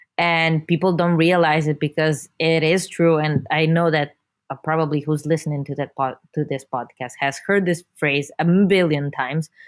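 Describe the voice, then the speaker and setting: A woman with an Italian accent, very deep and low in pitch, monotone and flat in intonation, at a moderate pace with hardly any pauses. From Italy. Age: 20s. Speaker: video creator for marketing company. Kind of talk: podcast interview.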